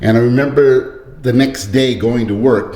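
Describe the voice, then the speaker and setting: Over noticeable background noise, a man of medium pitch speaks at a moderate pace with an American accent. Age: 60s. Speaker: vlogger, school principal. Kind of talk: personal vlog monologue. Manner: halting.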